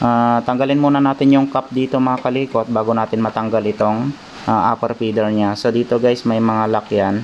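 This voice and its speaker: Against noticeable background noise, a man talks at a fairly quick pace with a medium pitch. His intonation is monotone and flat, and his loudness very even. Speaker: repair technician vlogger. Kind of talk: tutorial. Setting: at home workshop. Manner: hesitant, many filler ahs; raised voice over rain noise.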